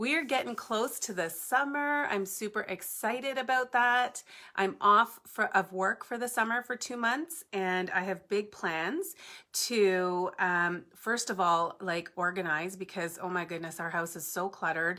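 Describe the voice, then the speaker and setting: Loud and fairly slow, a woman's bright, sharp voice swings very widely in pitch on a very clean recording with a silent background. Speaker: papercrafting tutorial host. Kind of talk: live-stream crafting tutorial chat. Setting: home basement, live stream. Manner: chatty, casual.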